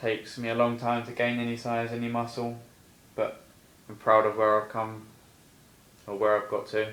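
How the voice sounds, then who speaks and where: In an English accent, a man speaks at a medium pitch and moderate pace, his intonation monotone and flat. His loudness swings widely, with long, frequent pauses and audible room echo. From England. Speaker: personal trainer. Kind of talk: casual vlog monologue. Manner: casual, hesitant with fillers.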